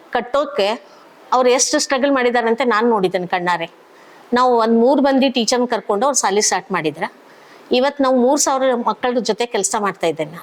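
The speaker is a woman with a high voice. Her intonation is lively. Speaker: school teacher. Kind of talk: interview testimony.

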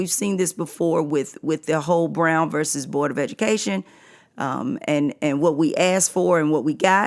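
On a very clean recording with a silent background, a woman speaks at a fairly slow pace with a fairly low pitch. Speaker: podcast host and English teacher. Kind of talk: casual podcast commentary. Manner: halting, many fillers.

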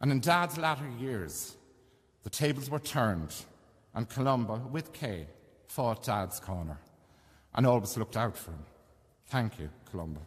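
This voice swings widely in loudness and very widely in pitch, with vocal fry, a moderate pace, and long, frequent pauses over a quiet background. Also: man. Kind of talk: eulogy reading. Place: church. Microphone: podium.

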